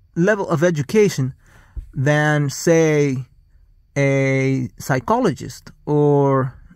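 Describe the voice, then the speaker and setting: With a non-native accent, a man at fairly high pitch for a man speaks at a very slow pace, leaving long, frequent pauses, his pitch varying in an ordinary way. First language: not English. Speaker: vlogger. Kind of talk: casual monologue. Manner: halting.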